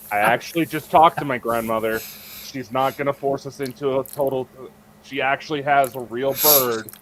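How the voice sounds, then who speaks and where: Here is a plain, everyday voice: a man with an American accent, medium in pitch. He keeps a moderate pace and fairly even intonation. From United States. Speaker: podcast co-host. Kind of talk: casual chat.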